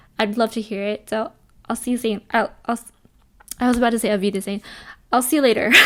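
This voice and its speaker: Against noticeable background noise, a woman with a fairly high pitch talks at a very fast pace, with fairly even intonation and long, frequent pauses. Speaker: influencer and entrepreneur YouTuber. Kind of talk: casual vlog talk to camera.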